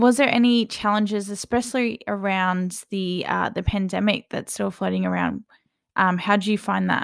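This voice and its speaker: A woman speaks at a moderate pace, the background quiet. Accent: Australian. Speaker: student podcast host. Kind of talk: casual interview.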